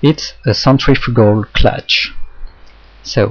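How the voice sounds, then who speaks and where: A man with a French accent speaks very slowly in a somewhat breathy voice. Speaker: hobbyist instructor. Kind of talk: tutorial.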